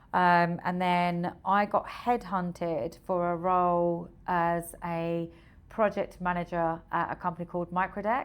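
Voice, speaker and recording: On a very clean recording with a silent background, a woman with a fairly low voice speaks at a fairly slow pace and fairly even intonation. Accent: Essex. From Essex, England. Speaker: recruitment software founder. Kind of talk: podcast interview.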